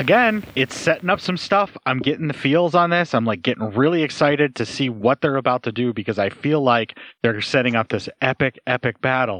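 A man with a plain, everyday voice at a medium pitch speaks at a fairly quick pace with hardly any pauses, the sound dry and close with no echo. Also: lively intonation. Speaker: podcast host. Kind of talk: casual banter, movie commentary. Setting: remote recording. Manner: joking, informal.

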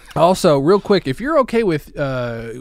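A man talks at a moderate pace with a high pitch. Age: 40s. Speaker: podcast co-host. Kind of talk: casual chat. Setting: video call. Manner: animated, laughing often.

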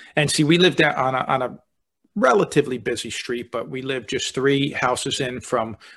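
It is a plain, everyday voice with ordinary pitch variation, moving at a fairly quick pace over a quiet background. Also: man. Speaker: podcast host, speaker and author. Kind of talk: casual interview conversation.

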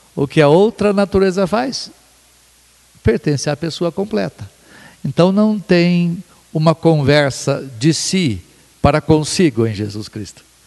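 In a dry, close recording with no echo, a man speaks fairly slowly at a fairly high pitch, using very wide pitch swings and long, frequent pauses. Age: 60s. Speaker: pastor and theologian. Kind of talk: theological discussion. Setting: at a home.

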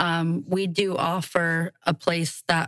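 In an American accent, a woman speaks. Her pitch is fairly low. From Southwest Florida, Fort Myers. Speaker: bait shop and art gallery owner. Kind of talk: casual interview.

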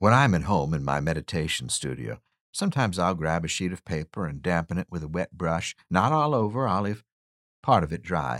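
Lively intonation and vocal fry at a moderate pace, on a very clean recording with a silent background. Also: man, dry, close sound with no echo. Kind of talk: guided meditation. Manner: gently wry, reassuring.

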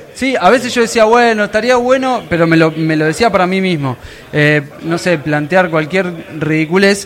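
Over noticeable background noise, a man speaks at a moderate pace. His pitch is high and his intonation lively. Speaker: podcaster. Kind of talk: live panel interview. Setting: stage with audience.

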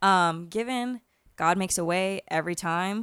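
The speaker has an unremarkable speaking voice with an American accent and ordinary pitch variation. The sound is dry and close with no echo, on a very clean recording with a silent background. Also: woman. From Florida, US. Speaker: chef. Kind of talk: casual chat.

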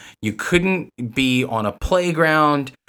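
A man with a New York accent at a very slow pace, lively intonation, in a very clean recording with a silent background. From New York City. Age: 30s. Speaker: comic art gallery manager. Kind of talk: casual chat.

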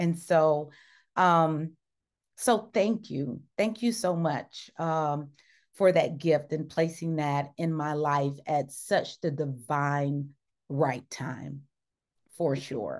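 Against a quiet background, a woman with a Southern US accent speaks at a very slow pace, her very deep, low pitch showing ordinary pitch variation. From US South, Mississippi small town. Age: 50s. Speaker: diversity consultant and therapist. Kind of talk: casual interview chat. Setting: video call.

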